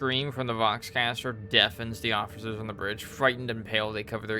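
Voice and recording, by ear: In a natural voice, the text is read aloud with fairly even intonation.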